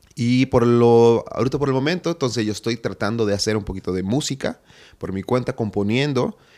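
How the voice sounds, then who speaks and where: Over a very clean recording with a silent background, a man talks at a fairly quick pace in a dark, mellow tone of medium pitch with ordinary pitch variation. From Honduras, inland. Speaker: musician and filmmaker. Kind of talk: interview.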